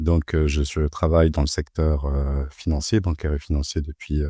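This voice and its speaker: With a dark, mellow tone and a very deep, low pitch, a man speaks at a moderate pace in a dry, close sound with no echo against a quiet background. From Paris suburbs, France. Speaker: bank compliance officer. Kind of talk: podcast interview. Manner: halting, many hesitations and repeated words.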